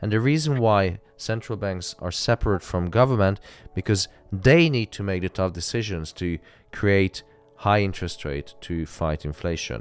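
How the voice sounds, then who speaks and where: On a very clean recording with a silent background, a man with a non-native accent talks at a moderate pace, his fairly low pitch carrying lively intonation. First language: not English. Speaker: live trading streamer. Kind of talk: live stream casual chat.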